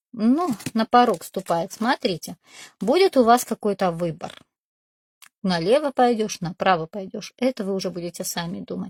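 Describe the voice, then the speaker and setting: The speech moves at a moderate pace with lively intonation, big swings in loudness and long, frequent pauses, on a very clean recording with a silent background and a dry, close sound with no echo. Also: woman, medium pitch for a woman. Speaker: tarot reader. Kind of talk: tarot reading video.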